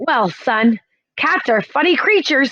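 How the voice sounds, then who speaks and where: A woman uses a put-on character voice at a high pitch. Her pitch swings very widely at a fairly slow pace. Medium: read story. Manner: hesitant, easygoing.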